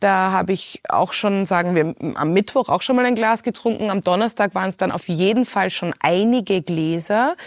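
An ordinary speaking voice: a woman at medium pitch, moderate pace and ordinary pitch variation, with hardly any pauses. The recording is very clean and dry, close with no echo and a silent background. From Hong Kong, then Austria from age 11. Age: 30s. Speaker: podcast host, artist and former journalist. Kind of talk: personal testimony in interview.

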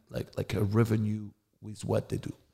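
In a French accent, a man speaks with a dark, mellow tone. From France. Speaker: adult film director and performer. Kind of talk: interview.

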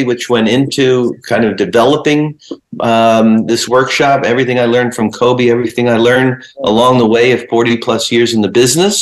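A man's ordinary speaking voice with an American accent, medium pitch and ordinary pitch variation. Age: 60s. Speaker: sports photographer. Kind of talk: interview.

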